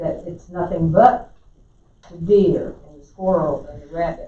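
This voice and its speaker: A woman with a fairly low pitch and ordinary pitch variation speaks at a moderate pace, with audible room echo. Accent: South Carolina. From South Carolina. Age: 70s. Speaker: resident commenter. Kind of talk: public comment at council meeting. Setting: county council meeting.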